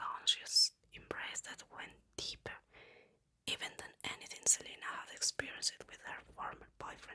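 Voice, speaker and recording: A man is whispering in a calm tone. His pace is fairly slow. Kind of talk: ASMR whisper book reading. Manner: whispered, soft-spoken, calm.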